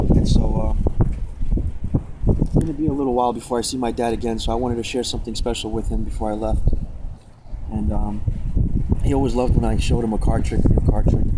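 Amid loud background noise, a man with an American accent talks at a fairly quick pace, broken by long, frequent pauses. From Long Island, New York. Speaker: magician vlogger. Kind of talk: casual vlog talk to camera. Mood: quiet, sentimental, subdued. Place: open country. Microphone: phone near.

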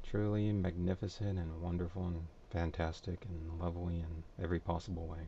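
A man mumbles at a moderate pace at a very deep, low pitch, with a dark, mellow tone and a monotone, flat intonation. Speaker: anime reviewer. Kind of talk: casual review talk to camera. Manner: mumbly.

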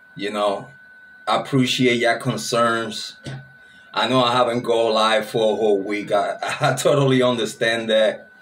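Music plays behind a man speaking at a moderate pace. His intonation is monotone and flat. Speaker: true crime channel host. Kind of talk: casual vlog chat. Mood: relaxed, grateful, laughing. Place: home room.

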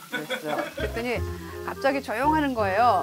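A woman talks at a fairly quick pace with music clearly audible in the background. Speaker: cooking show host. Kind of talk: casual chat telling a story. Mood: playful, teasing. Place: studio.

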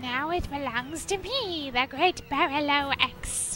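A put-on character voice with a high pitch moves at a fairly slow pace over clear background noise. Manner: boastful, theatrical.

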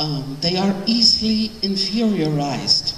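There is light background noise and audible room echo around this woman's voice. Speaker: lecturer, professor. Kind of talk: lecture. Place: hall. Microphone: handheld.

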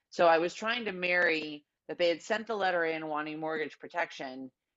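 A woman with an American accent, very deep, low pitch and ordinary pitch variation, in a quiet background. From California. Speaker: life insurance agent; guest. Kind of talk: casual interview. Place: home room. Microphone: earbuds.

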